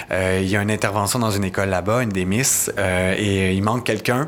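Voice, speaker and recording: Fairly quick speech from a man with a fairly low pitch and fairly even intonation, over noticeable background noise. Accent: Quebec. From Quebec, Montérégie (Napierville). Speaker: community worker at an LGBT organization. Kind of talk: interview conversation.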